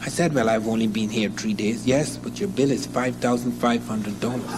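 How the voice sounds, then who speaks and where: A man talks at a moderate pace with ordinary pitch variation. Room echo is audible, and background noise is noticeable. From Africa. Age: 60s. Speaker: professor. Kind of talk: lecture.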